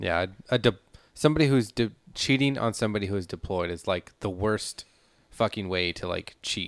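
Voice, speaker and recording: A man speaks at a fairly quick pace in a normal speaking voice, his pitch fairly low with ordinary variation. The recording is very clean with a silent background and a dry, close sound with no echo. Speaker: podcast co-host and editor. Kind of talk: casual chat.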